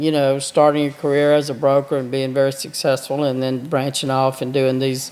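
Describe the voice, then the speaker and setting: A man speaks with a Mississippi accent. His intonation is flat and monotone. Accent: Mississippi Southern US. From US South, southeast Mississippi. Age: 70s. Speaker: attorney. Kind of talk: podcast interview.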